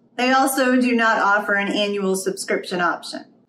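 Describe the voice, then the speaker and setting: A woman speaks with ordinary pitch variation, and audible room echo surrounds her voice. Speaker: homeschool reviewer. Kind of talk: product review explainer. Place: home room.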